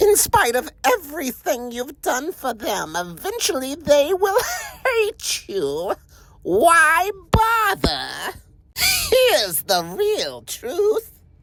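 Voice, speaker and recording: A man's put-on character voice at an extremely high pitch, delivered at a very slow pace. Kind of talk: villain monologue performance. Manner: menacing, taunting.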